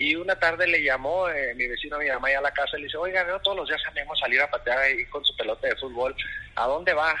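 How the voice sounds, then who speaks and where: Very fast speech over noticeable background noise. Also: man. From northern Mexico, Ciudad Juárez. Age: 30s. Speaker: goalkeeper coach. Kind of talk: interview.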